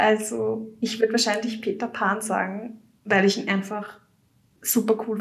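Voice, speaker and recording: Moderate pace and fairly high pitch from a woman. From Austria, Vienna. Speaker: fan website writer. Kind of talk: casual chat.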